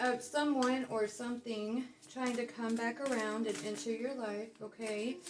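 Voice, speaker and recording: Over noticeable background noise, a woman talks at a fairly slow pace in a fairly high pitch. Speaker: tarot reader. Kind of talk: casual tarot reading monologue. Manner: casual, with many fillers.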